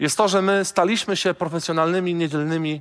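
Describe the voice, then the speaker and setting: This is a man speaking. His pace is moderate. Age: 30s. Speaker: pastor. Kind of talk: sermon.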